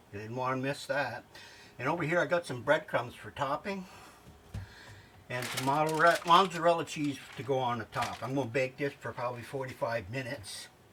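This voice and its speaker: A fairly high-pitched man at a fairly quick pace, ordinary pitch variation, noticeable background noise. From New York. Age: 70s. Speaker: home cooking video host. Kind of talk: cooking tutorial. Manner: casual, chatty.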